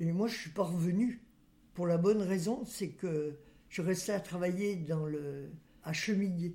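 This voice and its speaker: Fairly low in pitch and somewhat breathy, a woman with a dark, mellow tone speaks at a fairly slow pace with ordinary pitch variation and long, frequent pauses. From western France, Loire-Atlantique. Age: 90s. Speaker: great-grandmother interviewee. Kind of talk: life-story interview. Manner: halting.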